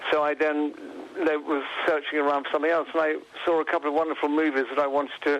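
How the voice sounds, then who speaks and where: A man with an English accent talks at a very fast pace with a fairly high pitch. His intonation is monotone and flat, and there is noticeable background noise. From England. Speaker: photographer and author. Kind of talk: radio interview. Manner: hesitant, many fillers and restarts.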